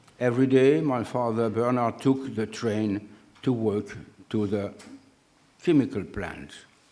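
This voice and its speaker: In a dark, mellow tone with ordinary pitch variation, the speaker goes at a fairly slow pace with long, frequent pauses, and audible room echo surrounds the voice. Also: man, medium pitch for a man. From northern France (Oise). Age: 80s+. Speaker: scientist. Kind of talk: lecture.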